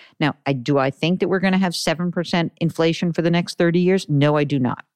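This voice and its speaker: A woman's fairly low voice with ordinary pitch variation, dry and close with no echo, against a quiet background. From New York. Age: 50s. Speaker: financial analyst and broadcaster. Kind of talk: interview. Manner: animated.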